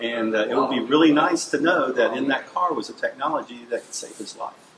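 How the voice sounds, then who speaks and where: Noticeable background noise sits behind this man. He talks at a fairly quick pace. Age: 60s. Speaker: transportation engineering consultant. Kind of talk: interview. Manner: hesitant, many fillers.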